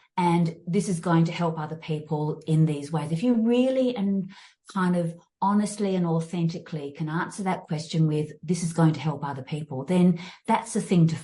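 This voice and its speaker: Speaking with an Australian accent, a woman uses a fairly low pitch and a dark, mellow tone that is somewhat breathy. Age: 60s. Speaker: fitness and mindfulness coach. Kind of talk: interview. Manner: halting, many fillers and restarts.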